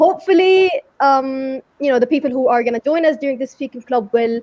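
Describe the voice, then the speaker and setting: A high-pitched woman with an Arabic accent, very fast pace and lively intonation. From Saudi Arabia. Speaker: English teacher. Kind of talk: interview.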